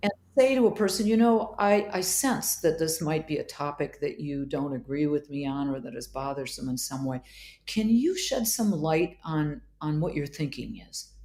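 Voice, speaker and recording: With a slight Wisconsin accent, the voice has a dark, mellow tone and very wide pitch swings. The recording is very clean, with a silent background. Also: woman, very deep, low pitch for a woman, moderate pace. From Wisconsin, US Midwest. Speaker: psychiatrist. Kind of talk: interview conversation.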